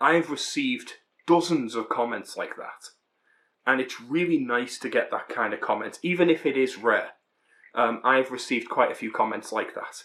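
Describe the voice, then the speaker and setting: With an American accent, the speaker has a bright, sharp tone, a moderate pace and ordinary pitch variation. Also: man, medium pitch for a man. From Britain. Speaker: booktuber. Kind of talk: casual vlog monologue. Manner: casual, with frequent fillers.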